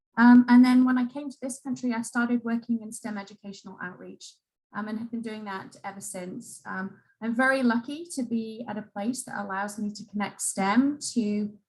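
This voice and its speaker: A woman with an English accent speaks in a somewhat breathy, fairly high voice, her intonation fairly even and her loudness swinging widely. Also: moderate pace. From England. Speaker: museum education executive. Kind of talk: panel introduction.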